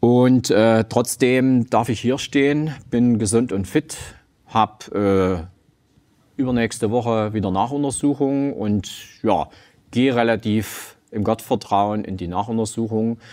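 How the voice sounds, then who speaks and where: Speech unfolds at a very slow pace. The tone is dark and mellow, and the pitch varies in an ordinary way. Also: man, medium pitch for a man. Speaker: gym owner and cancer survivor; talk show guest. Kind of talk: testimony; interview answer. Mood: calm, reflective, serious. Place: studio. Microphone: lapel.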